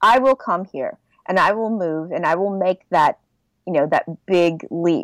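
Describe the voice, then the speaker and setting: A woman with a Californian accent speaks with lively intonation in a dry, close sound with no echo. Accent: Californian American. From Southern California. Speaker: nerdcore rapper. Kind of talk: casual chat.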